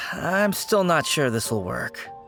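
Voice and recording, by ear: Using a cartoonish character voice, a woman speaks slowly at a low pitch with lively intonation while music plays clearly behind her.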